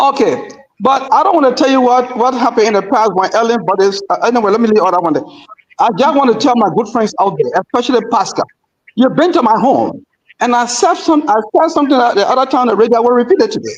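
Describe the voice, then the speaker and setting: The speaker sounds animated, with lively intonation and very even loudness, talking at a very fast pace. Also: man, extremely high pitch for a man. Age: 70s. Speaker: political commentator. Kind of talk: radio panel discussion.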